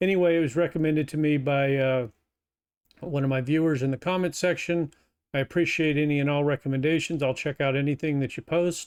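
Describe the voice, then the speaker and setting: In an American accent, a man with an unremarkable speaking voice and fairly high pitch talks at a fairly quick pace, his intonation fairly even and his loudness very even. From United States. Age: 50s. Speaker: YouTube reaction commentator. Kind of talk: reaction video commentary.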